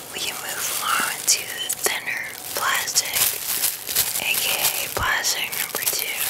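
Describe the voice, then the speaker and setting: A man whispers. His pace is very slow. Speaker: ASMR creator. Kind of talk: ASMR talk to camera. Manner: soft-spoken, whispery. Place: home room. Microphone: studio mic.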